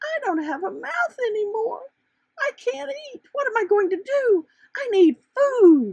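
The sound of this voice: This put-on character voice moves at a fairly slow pace, with vocal fry and big pitch swings. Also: woman, extremely high pitch for a woman, slightly mellow tone.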